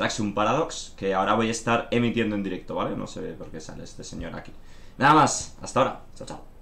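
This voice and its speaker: Talking at a very fast pace, a man uses ordinary pitch variation with big swings in loudness. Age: 20s. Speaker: gaming streamer. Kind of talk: casual stream announcement. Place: home room.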